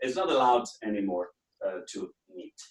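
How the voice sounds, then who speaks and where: A man's medium-pitched voice with a German accent. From Austria. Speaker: business trainer and consultant. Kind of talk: webinar lecture. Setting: online webinar from home office.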